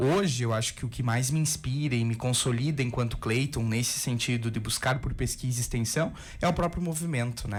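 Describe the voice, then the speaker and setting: The delivery is fairly quick, with ordinary pitch variation. The voice is somewhat breathy. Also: man. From southern Brazil, Rio Grande do Sul. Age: 20s. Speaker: biology professor. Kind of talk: radio interview.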